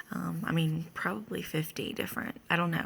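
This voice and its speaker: Quietly, a woman speaks at a moderate pace. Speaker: vlogger sharing a dream. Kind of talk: casual monologue. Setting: at home early morning. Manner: quiet, hushed; halting with many fillers.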